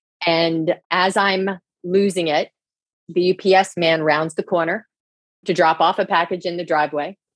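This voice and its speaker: Using monotone, flat intonation and long, frequent pauses, a woman speaks with an American accent. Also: fairly low pitch for a woman, fairly slow pace, dry, close sound with no echo. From New Jersey. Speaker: leadership coach. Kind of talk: interview chat.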